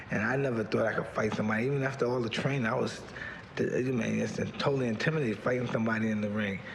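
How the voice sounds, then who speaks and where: A man speaks at a very fast pace in a medium pitch, with fairly even intonation and very even loudness, over noticeable background noise. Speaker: boxer. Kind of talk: interview answer. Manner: soft-spoken.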